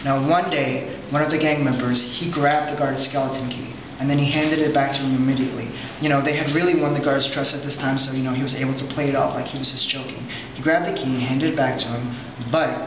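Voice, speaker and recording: A man talks very fast in a monotone, flat delivery. Noticeable background noise and audible room echo sit around his voice. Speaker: tour guide. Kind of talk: guided tour narration. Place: hall. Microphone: camera far.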